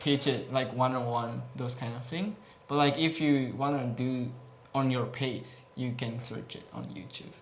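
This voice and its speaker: A man with a non-native accent speaks at a fairly slow pace and medium pitch, with ordinary pitch variation, big swings in loudness, and audible room echo. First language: Japanese. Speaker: gaming guild representative. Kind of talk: Q&A interview. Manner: hesitant, many fillers.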